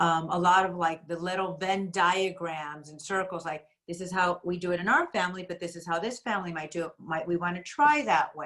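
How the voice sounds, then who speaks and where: A woman with a Spanish accent, fairly low in pitch with ordinary variation, at a fairly quick pace with big swings in loudness. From USA, Spanish-speaking home. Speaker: school administrator, workshop moderator. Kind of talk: parent workshop discussion.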